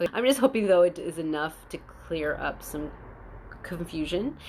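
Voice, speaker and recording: A woman's voice with vocal fry. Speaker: spiritual channeler. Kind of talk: spiritual monologue. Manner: fast.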